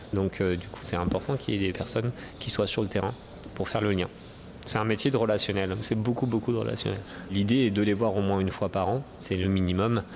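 A man speaks at a fairly quick pace in a fairly low pitch. His intonation stays fairly even over noticeable background noise. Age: 30s. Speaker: dairy supplier relations manager. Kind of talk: interview. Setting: agricultural trade fair on a farm. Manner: hesitant, many fillers.

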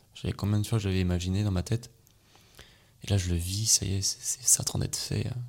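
Somewhat breathy delivery at a fairly quick pace, fairly even in intonation, broken by long, frequent pauses. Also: man, fairly low pitch for a man. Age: 20s. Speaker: hypnotherapist. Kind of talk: casual interview.

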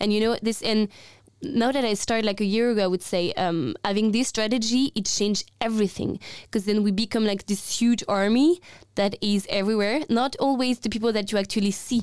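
Speaking with a French accent at a fairly quick pace, the voice shows ordinary pitch variation. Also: woman. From France. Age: 20s. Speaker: climate activist. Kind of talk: casual conversation.

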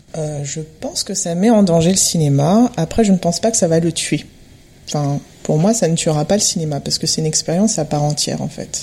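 Somewhat breathy and dark, mellow in tone, a woman speaks fairly quickly in a fairly low pitch. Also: ordinary pitch variation. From Montreuil, Paris region, France. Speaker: interior designer, guest. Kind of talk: casual panel discussion. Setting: home living room recording.

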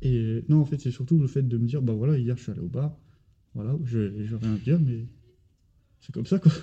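The delivery moves at a moderate pace with long, frequent pauses and ordinary pitch variation. The tone is dark, mellow and somewhat breathy. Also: man, medium pitch for a man. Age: 20s. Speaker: fitness coach and bodybuilder. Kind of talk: casual chat. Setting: gym.

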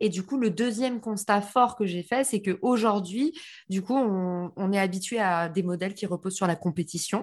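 A somewhat breathy woman talks at a moderate pace against a quiet background. Her medium pitch shows ordinary variation. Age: 30s. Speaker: marketing entrepreneur. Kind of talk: interview.

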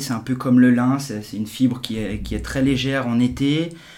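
A man speaks at a fairly slow pace with ordinary pitch variation. There is audible room echo and noticeable background noise. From Geneva, Switzerland. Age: 40s. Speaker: entrepreneur. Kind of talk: casual interview. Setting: in person, office. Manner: halting, many repetitions.

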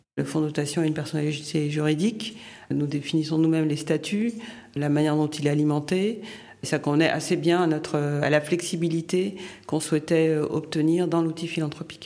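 Her voice has a very deep, low pitch and a dark, mellow tone. The woman talks at a fairly quick pace with very even loudness. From Haiti. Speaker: philanthropist, former finance professional. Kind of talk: interview testimony. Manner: halting with hesitations.

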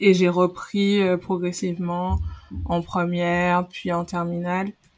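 Very slow speech comes from a woman with a fairly low pitch. Her intonation is monotone and flat. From Guadeloupe. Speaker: former volleyball player and pharmacist. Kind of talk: casual interview.

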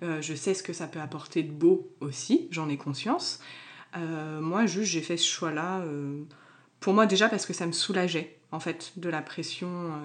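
Speaking with a plain, everyday voice, a woman keeps a fairly slow pace, fairly low pitch and fairly even intonation. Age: 20s. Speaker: tattoo artist. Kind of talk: casual chat.

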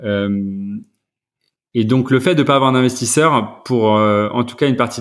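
Here a man talks fairly slowly. His voice is medium in pitch. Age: 40s. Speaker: startup founder. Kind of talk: interview. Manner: halting.

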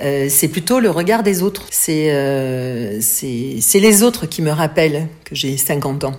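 A woman's very deep, low voice at a very slow pace, with very wide pitch swings and noticeable background noise. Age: 50s. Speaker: interviewee. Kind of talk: testimony. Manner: halting.

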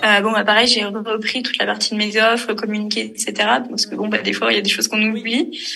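Noticeable background noise sits behind a woman speaking at a fairly high pitch. She talks at a moderate pace in a monotone, flat intonation. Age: 20s. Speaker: financial management consultant. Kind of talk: casual interview chat.

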